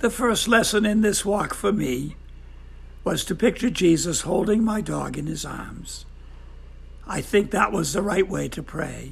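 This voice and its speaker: Amid noticeable background noise, the voice has a gentle tone and moves at a fairly slow pace. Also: man. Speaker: devotional speaker. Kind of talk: devotional talk.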